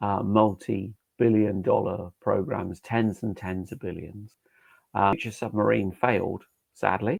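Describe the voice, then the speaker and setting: With a British accent, a man speaks at a fairly slow pace in a fairly low pitch and with fairly even intonation. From UK. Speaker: safety engineering trainer. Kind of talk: webinar lecture. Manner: hesitant fillers.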